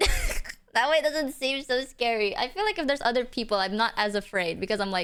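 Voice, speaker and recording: Speaking in a high pitch with very wide pitch swings, a woman with a non-native accent keeps her loudness very even and talks at a fairly quick pace with hardly any pauses. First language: not English. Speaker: streamer. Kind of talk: casual chat. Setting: livestream.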